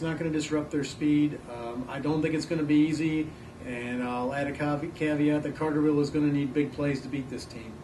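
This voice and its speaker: Fairly high-pitched male speech, monotone and flat, with audible room echo and noticeable background noise. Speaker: sports reporter. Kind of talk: casual panel discussion of football picks.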